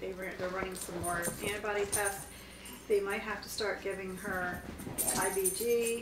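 Over noticeable background noise, a woman talks at a fairly slow pace in a monotone, flat intonation. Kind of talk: casual vlog update. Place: home room. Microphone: camera far.

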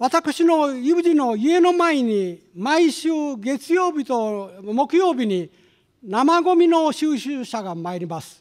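A man speaks with an extremely high pitch and very wide pitch swings. The background stays quiet. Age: 70s. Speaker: research institute director, economist. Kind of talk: formal opening speech at a symposium. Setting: conference hall with audience. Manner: formal; hesitant with fillers. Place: hall. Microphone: podium.

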